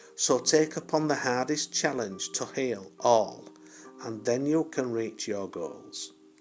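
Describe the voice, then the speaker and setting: A man at a very slow pace with lively intonation, music in the background. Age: old. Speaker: spiritual poet. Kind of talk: poetry reading.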